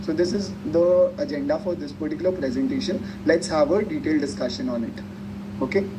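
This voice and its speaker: At a fairly quick pace, a man talks at a high pitch with very wide pitch swings, amid audible room echo and noticeable background noise. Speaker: tech tutorial presenter. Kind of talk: tutorial. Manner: animated.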